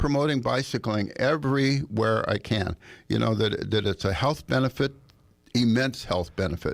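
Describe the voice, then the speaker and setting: This man has a medium pitch and vocal fry, speaking at a moderate pace with lively intonation. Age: 80s+. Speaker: bicycle safety advocate. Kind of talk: radio interview. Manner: halting, many repeated words.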